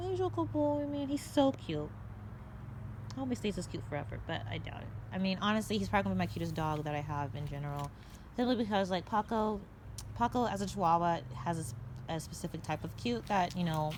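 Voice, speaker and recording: The voice moves at a very fast pace with vocal fry. Its pitch swings very widely. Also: woman, very deep, low pitch for a woman. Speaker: dog breeder and vlogger. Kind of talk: casual vlog monologue. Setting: outdoors, backyard. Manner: stammering.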